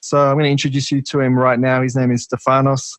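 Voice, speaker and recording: Recorded dry and close with no echo, a man speaks at a medium pitch in a flat monotone. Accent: Australian. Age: 30s. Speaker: podcast host. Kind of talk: podcast interview.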